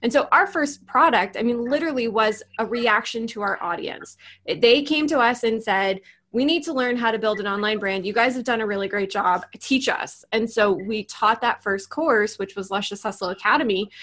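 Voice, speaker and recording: With an American accent, a woman talks at a moderate pace in a fairly high pitch with a bright, sharp tone. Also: ordinary pitch variation. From US Northeast, New York. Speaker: business coach. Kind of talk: casual chat. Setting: video call.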